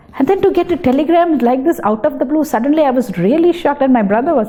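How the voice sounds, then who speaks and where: A woman with a Tamil accent talks fairly quickly at a high pitch with lively intonation. Background noise is noticeable. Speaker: dietitian. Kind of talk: interview testimony.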